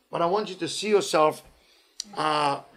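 Speaking at a fairly quick pace, a man sounds animated. His voice sits fairly high, with ordinary pitch variation. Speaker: rabbi teaching Torah lecturer. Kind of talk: guided meditation; Torah lecture. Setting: live in-person audience. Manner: animated, conversational.

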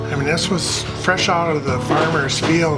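A man keeps a moderate pace while loud music runs in the background. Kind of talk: interview answer. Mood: relaxed, amused. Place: workshop.

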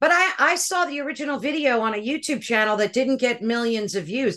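A woman's high-pitched, animated voice with lively intonation, a fairly quick pace and a quiet background. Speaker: podcast host. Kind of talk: interview. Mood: animated, emotional. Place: home room. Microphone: video call.

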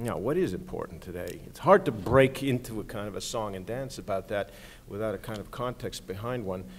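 A man talks at a fairly quick pace with lively intonation and big swings in loudness over light background noise. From not from California. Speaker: architecture critic. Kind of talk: panel discussion. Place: hall. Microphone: podium.

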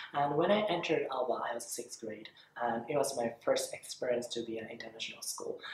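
A man talks at a very fast pace. The room echo is audible, and there is light background noise. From Japan. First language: Japanese. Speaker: voice actor. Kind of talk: interview. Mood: warm, earnest, animated. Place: classroom.

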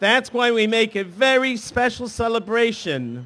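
A man's raised, projected voice, bright and sharp in tone, at a very slow pace with ordinary pitch variation. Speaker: speaker. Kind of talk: speech to children. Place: street. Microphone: podium.

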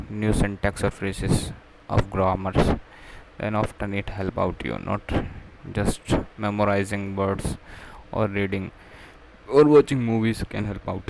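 Delivered at a fairly slow pace with fairly even intonation and long, frequent pauses, the voice sounds dry with no echo over light background noise. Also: man, fairly low pitch for a man. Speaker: english learner vlogger. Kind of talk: casual vlog chat. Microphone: webcam.

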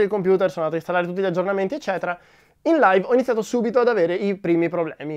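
Against a quiet background, a man with a high-pitched voice speaks with ordinary pitch variation. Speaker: tech youtuber. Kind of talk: casual vlog talk to camera.

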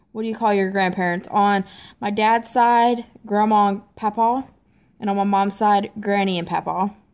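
In a Southern US accent, the speaker keeps a moderate pace with monotone, flat intonation. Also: woman. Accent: Southern US, noticeable. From US South (Tennessee, Mississippi). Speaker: YouTuber. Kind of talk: casual vlog reading questions. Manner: casual, slightly hesitant. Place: home room. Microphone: phone near.

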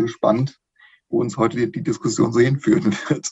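Over a quiet background, a man talks at a fairly quick pace in a somewhat breathy voice. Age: 40s. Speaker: podcast guest, hobby fan; podcast guest. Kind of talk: casual chat. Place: home room. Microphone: video call.

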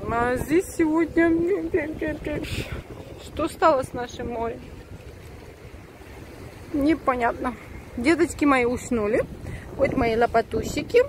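The speech comes very slowly with long, frequent pauses, in a dry sound with no echo but noticeable background noise. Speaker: mother vlogger. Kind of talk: casual vlog chat. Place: waterside.

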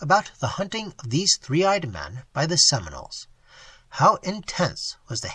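Lively intonation from someone reading aloud in a natural voice.

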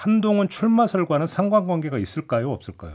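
A man against a quiet background. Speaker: radio current affairs host; radio host moderating political panel. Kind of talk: radio panel discussion. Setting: radio studio. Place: studio. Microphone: studio mic.

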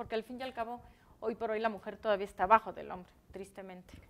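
A woman's fairly high-pitched voice. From Mexico. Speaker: interviewer. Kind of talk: interview. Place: studio.

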